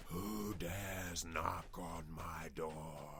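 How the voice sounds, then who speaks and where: A man whispers in a put-on character voice. Background noise is clearly present. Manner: whispering, eerie.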